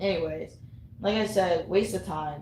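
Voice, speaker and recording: A woman with an American accent, animated tone, lively intonation and vocal fry, in audible room echo. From US Northeast, Connecticut. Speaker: vlogger. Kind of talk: casual monologue rant.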